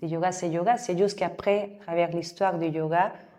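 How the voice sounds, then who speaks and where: The speaker has a Mexican accent and a dark, mellow tone. Delivery is at a moderate pace with fairly even intonation. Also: woman. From Mexico City. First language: Spanish (speaking French). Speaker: yoga teacher. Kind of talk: interview. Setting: yoga studio, seated on floor mats. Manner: halting.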